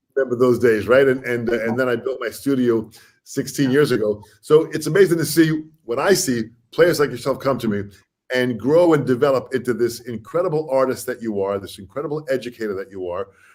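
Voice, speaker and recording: Using an unremarkable speaking voice with an American accent, a man talks at medium pitch and a fairly quick pace with ordinary pitch variation. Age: 60s. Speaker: drum educator and interview host. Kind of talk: interview. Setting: video call.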